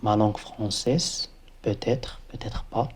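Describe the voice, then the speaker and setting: The man's voice sits at a medium pitch with a dark, mellow tone. It comes across as somewhat breathy. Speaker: embedded software engineer, video creator. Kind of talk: motivational talk to camera. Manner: halting, many hesitations.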